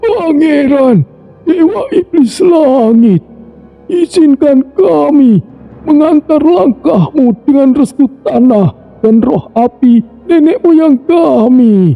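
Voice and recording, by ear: Putting on a character voice, this man pitches it extremely high. His delivery crawls at a very slow pace.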